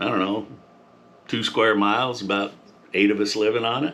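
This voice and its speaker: A man speaks at a moderate pace. His pitch is fairly low and his intonation fairly even. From Montana. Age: 60s. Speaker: farmer and Air Force veteran. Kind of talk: casual monologue. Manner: halting.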